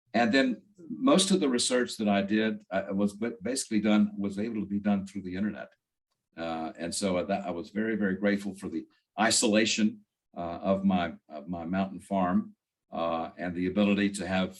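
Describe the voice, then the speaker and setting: Speech moves along fairly quickly. Its intonation is fairly even. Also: man, fairly low pitch for a man. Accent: North Carolina. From US South, northwestern North Carolina. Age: 70s. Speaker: author, retired attorney. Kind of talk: interview. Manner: halting, many fillers and repeats.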